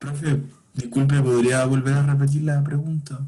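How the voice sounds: With audible room echo, a man with a dark, mellow tone talks at a moderate pace and medium pitch, showing little pitch movement.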